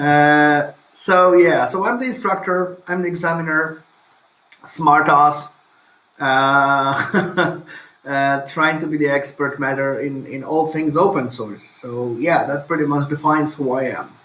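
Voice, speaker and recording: A man speaks with a Polish accent at a fairly high pitch and a fairly slow pace. His pitch varies in an ordinary way, and audible room echo surrounds him. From Poland. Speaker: IT instructor. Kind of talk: interview.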